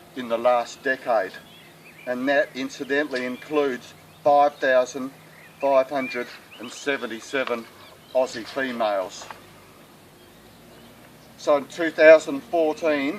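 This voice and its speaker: Fairly even intonation in an Australian accent, at a fairly slow pace with long, frequent pauses, over noticeable background noise. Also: man. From South Australia. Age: 60s. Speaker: sheep farmer. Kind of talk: appeal talk to camera. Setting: outdoors.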